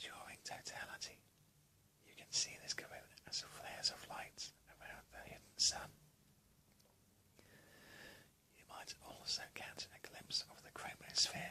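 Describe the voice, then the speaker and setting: A man whispers at a fairly slow pace, with long, frequent pauses. His loudness swings widely. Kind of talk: ASMR relaxation whisper video. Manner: whispered, relaxing.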